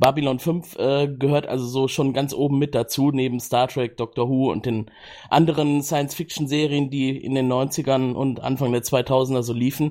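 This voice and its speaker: A medium-pitched man at a moderate pace, in a monotone, flat intonation. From Cologne, Germany. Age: 30s. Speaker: project manager, podcast guest. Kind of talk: casual chat. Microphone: new good microphone.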